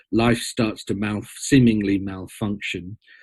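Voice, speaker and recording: A man speaks with an English accent at a fairly slow pace. His intonation is fairly even. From Britain. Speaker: storyteller and mythologist. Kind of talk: interview conversation.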